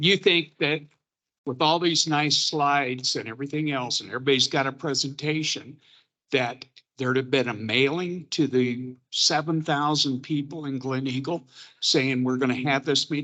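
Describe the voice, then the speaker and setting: Here is a man with an ordinary speaking voice, pitched fairly high and moving at a moderate pace. The background is quiet. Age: 60s. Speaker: local resident. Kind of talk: public comment. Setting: public meeting in a church.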